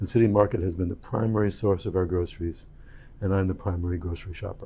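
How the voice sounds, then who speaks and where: A man with a very deep, low pitch and a dark, mellow tone talks very fast, somewhat breathy, his intonation fairly even. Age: 70s. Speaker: board candidate, retired physician. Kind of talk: recorded candidate introduction.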